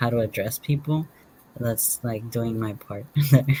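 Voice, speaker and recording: The voice is somewhat breathy, with a Spanish accent and fairly even intonation. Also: man. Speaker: panelist. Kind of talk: community panel discussion. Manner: halting.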